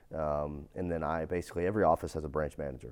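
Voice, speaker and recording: A man's very deep, low voice with vocal fry and ordinary pitch variation, delivered at a very fast pace on a very clean recording with a silent background. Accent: American. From East Texas. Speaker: fire protection business executive and entrepreneur. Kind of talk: interview conversation.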